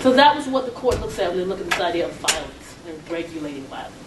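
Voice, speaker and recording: A woman with an American accent speaks at a fairly quick pace, her pitch swinging very widely. The recording has audible room echo and noticeable background noise. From Atlanta, Georgia (US South). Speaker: law professor. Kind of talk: lecture. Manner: fast.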